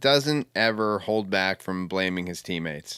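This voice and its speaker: Over a very clean, silent background, a man talks at a moderate pace in an ordinary speaking voice. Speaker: sports podcast host. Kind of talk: casual chat. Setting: at home.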